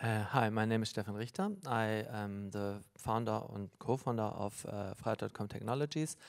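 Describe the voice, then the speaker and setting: Fairly even intonation and a moderate pace mark a plain, everyday voice. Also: man, fairly low pitch for a man. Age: 50s. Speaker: tech entrepreneur. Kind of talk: panel discussion.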